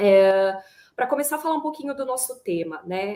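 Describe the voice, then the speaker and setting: At a moderate pace, a woman talks with ordinary pitch variation in an unremarkable speaking voice. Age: 30s. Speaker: HR manager, panel moderator. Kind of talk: panel discussion.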